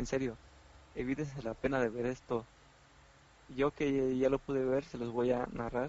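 A man's medium-pitched voice at a moderate pace, with fairly even intonation and long, frequent pauses. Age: 20s. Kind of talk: casual chat.

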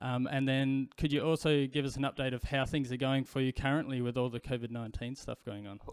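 With an Australian accent, a man talks at a fairly quick pace, hardly pausing. His medium pitch is monotone, with flat intonation. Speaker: podcast host. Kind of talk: interview.

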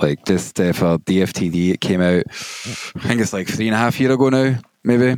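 Dry and close with no echo, a man with a Glaswegian accent speaks fairly low at a fairly slow pace, with ordinary pitch variation. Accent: Glaswegian Scottish. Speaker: DJ and music producer. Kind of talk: casual interview.

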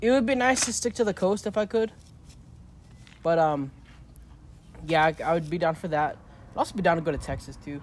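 A man talks at a fairly quick pace with a relaxed tone and lively intonation. His speech breaks up with long, frequent pauses. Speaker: podcast co-host and guest. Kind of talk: casual interview chat. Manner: relaxed, jokey.

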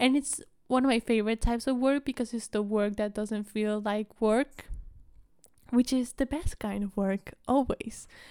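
In a Spanish accent, a woman speaks with a dark, mellow tone, the sound dry and close with no echo and the recording very clean against a silent background. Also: fairly high pitch for a woman, moderate pace. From Argentina. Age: 20s. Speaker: podcast host and college student. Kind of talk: casual chat. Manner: animated.

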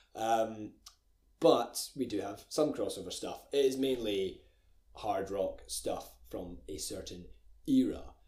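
A man with a Scottish accent speaks at a very slow pace. His loudness swings widely. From Scotland, Glencoe. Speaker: music podcast co-host. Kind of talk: casual chat.

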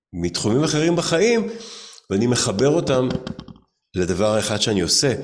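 Audible room echo surrounds a man's voice at medium pitch. His pitch makes very wide swings. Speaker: musician and entrepreneur. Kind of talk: casual interview.

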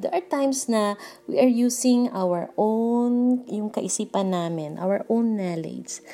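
A woman speaks at a fairly slow pace with lively intonation, a dark, mellow tone and a fairly high pitch. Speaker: devotion leader. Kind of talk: devotional talk.

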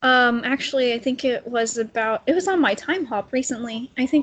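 A normal speaking voice from a woman with an American accent, fairly high pitch, ordinary pitch variation and a fairly slow pace. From Texas. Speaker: TV fan guest. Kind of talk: casual chat.

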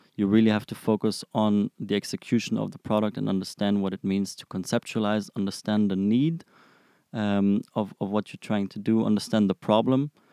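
In a German accent, a man speaks at a fairly quick pace with a fairly low pitch, fairly even intonation and a dark, mellow tone, his loudness swinging widely, on a very clean, dry, close recording with a silent background and no echo. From Germany, Frankfurt. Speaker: product manager. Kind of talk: interview. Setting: studio. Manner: halting, many fillers.

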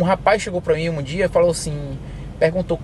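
A man talks in a high pitch. Noticeable background noise runs behind him. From Brazil, Bahia (Teixeira de Freitas), moved to US at 11. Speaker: truck driver. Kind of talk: interview.

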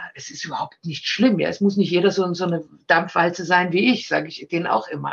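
A woman's somewhat breathy voice moves at a fairly quick pace. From Austria. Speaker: actress and talent agent. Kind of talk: casual interview. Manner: animated.

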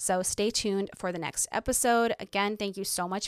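Recorded dry and close with no echo against a silent background, a woman speaks at a medium pitch and a moderate pace. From Ukraine, moved to the US at seven. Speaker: podcast host, social media marketer. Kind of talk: solo podcast monologue.

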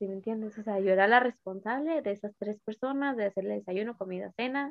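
A woman with a normal speaking voice talks at a moderate pace. Her pitch is medium, with ordinary pitch variation. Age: 20s. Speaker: podcast guest. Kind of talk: casual chat.

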